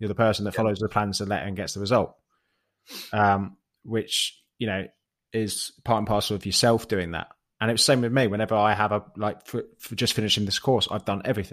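On a very clean recording with a silent background, a man with a British accent speaks at a fairly quick pace in a flat monotone and a fairly low pitch. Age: 30s. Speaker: fitness coach. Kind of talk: casual chat.

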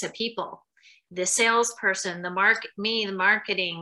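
A woman's ordinary speaking voice at medium pitch, with an American accent, ordinary pitch variation and a moderate pace. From western Pennsylvania. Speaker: marketing executive. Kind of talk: interview.

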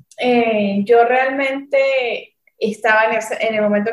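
At a very slow pace, a woman speaks with fairly even intonation and a fairly high pitch. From Venezuela. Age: 20s. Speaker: chef and restaurant owner. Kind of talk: interview. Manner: halting.

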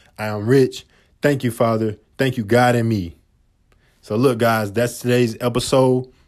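On a very clean recording with a silent background, a man with a medium pitch talks at a moderate pace in an animated tone, leaving long, frequent pauses. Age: 20s. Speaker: motivational podcast host. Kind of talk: motivational monologue.

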